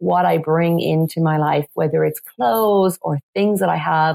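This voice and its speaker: At a moderate pace, a woman with an Irish accent speaks in a dry, close sound with no echo. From west of Ireland, Galway. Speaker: business coach and feng shui expert. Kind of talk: interview.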